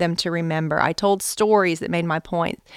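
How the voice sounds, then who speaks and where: In a dry, close sound with no echo, a woman speaks at medium pitch and a very fast pace. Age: 40s. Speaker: author and Bible teacher. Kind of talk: interview. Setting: at a church event.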